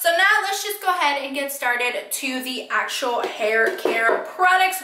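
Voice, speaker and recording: A woman with an American accent, her raised, projected voice swinging very widely in pitch, at a moderate pace, with audible room echo. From California. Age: 20s. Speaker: beauty vlogger. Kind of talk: casual talk to camera. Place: home room.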